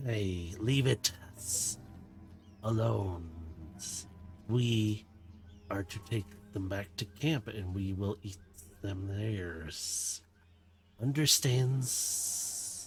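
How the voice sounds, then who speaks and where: In a put-on character voice, a man speaks very slowly at a fairly low pitch, with hissing in the sound. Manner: hissy.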